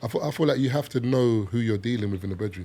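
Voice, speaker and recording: With a London accent and a dark, mellow tone, a man talks at a very fast pace. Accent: British (London). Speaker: podcast guest. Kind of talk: casual chat.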